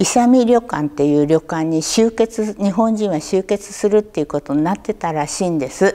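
The intonation is lively. The tone is dark and mellow. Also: woman. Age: 80s. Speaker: war survivor storyteller; war memory storyteller. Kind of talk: testimony; oral history interview answer. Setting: local museum talk event. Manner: conversational, with frequent fillers. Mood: calm, reflective storytelling. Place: hall.

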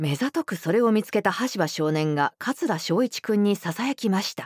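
A woman at a moderate pace with very wide pitch swings, dry sound with no echo, and a quiet background. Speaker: professional voice actor narrator. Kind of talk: audiobook narration of a classic detective story for young readers.

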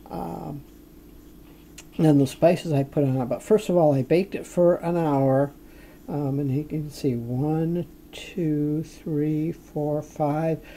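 Against light background noise, a woman speaks at a very slow pace with a very deep, low pitch and ordinary pitch variation. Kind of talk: casual cooking commentary. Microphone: phone near.

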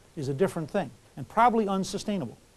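His intonation is lively. The man speaks at a very fast pace. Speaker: lecturer. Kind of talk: lecture. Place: classroom.

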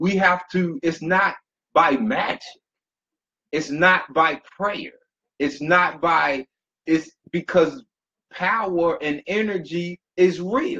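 With a bright, sharp tone, the speaker moves at a very slow pace, broken by long, frequent pauses. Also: man, ordinary pitch variation. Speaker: motivational speaker. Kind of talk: motivational talk. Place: home room. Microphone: webcam.

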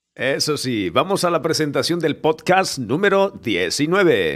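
A man with vocal fry, fairly high pitch and lively intonation. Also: fairly slow pace. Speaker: podcast host. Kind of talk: live podcast host talk. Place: studio. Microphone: studio mic.

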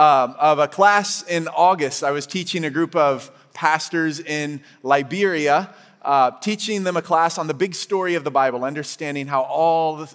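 His pitch moves with ordinary variation. Behind the man, the background stays quiet. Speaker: guest preacher. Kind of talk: sermon. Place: church. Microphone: headset.

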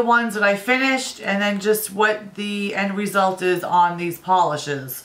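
The tone is bright and sharp. Audible room echo surrounds the voice. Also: woman. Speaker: beauty vlogger. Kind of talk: casual vlog talk.

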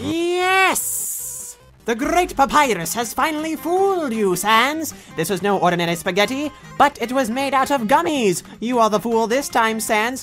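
A female-sounding voice in a put-on character, pitched high, with clear music in the background. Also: moderate pace. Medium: dub. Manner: loud, boastful.

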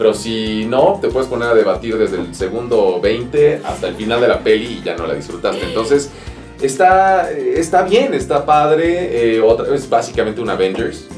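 A man talks at a moderate pace. There is audible room echo and faint music in the background. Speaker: voice actor. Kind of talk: interview answer. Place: studio.

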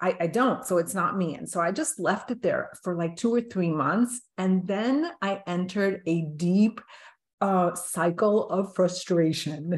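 A woman speaks at a fairly slow pace, her voice somewhat breathy. Her pitch variation is ordinary. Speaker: podcast host interviewing a guest. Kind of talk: interview storytelling. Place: home room. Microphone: video call.

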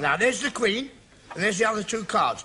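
A man's raised, projected voice over light background noise. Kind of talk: sitcom dialogue. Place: cafe.

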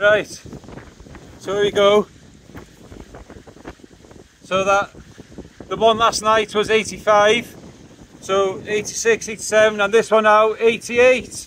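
With a high pitch and a fairly bright tone, a man speaks at a slow pace, showing little pitch movement and taking long, frequent pauses.

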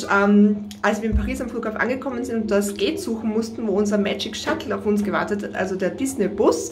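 A woman speaks at a very fast pace. Light background noise can be heard. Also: ordinary pitch variation. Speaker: family travel vlogger. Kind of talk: casual vlog chat. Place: bathroom.

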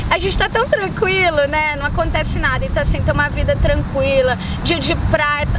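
A woman speaks at a fairly quick pace. The sound is dry with no echo, and loud background noise runs underneath. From Brazil. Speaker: YouTuber. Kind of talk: casual chat. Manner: animated. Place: waterside.

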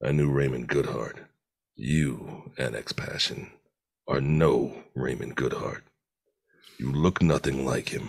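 The voice carries a menacing tone at a fairly slow pace. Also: man. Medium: voice reel. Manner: menacing, cold.

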